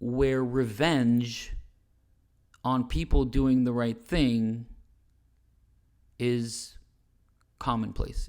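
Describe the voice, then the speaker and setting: The voice belongs to a man. His intonation is fairly even. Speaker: self-advocate presenting case against police. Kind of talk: slide presentation monologue. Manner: hesitant with fillers.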